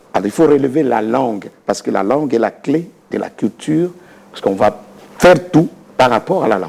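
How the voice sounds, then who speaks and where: Over noticeable background noise, a man with a Congolese accent talks at a moderate pace and a medium pitch, with very wide pitch swings and long, frequent pauses. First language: Lingala (speaking French). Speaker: dictionary author and researcher. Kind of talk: interview. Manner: halting.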